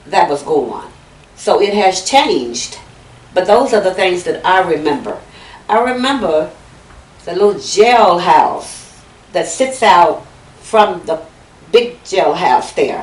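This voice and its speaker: Over noticeable background noise, a woman talks at a very slow pace with long, frequent pauses, using a medium pitch and lively intonation. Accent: American. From Fayette County, Texas. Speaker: oral history interviewee. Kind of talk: interview answer.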